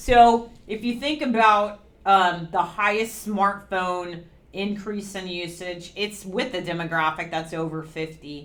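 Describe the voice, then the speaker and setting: A normal speaking voice at a fairly slow pace, with ordinary pitch variation and big swings in loudness. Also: woman, medium pitch for a woman. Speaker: webinar presenter for a video banking company. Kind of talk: webinar presentation with Q&A. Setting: recorded webinar. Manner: many filler ums.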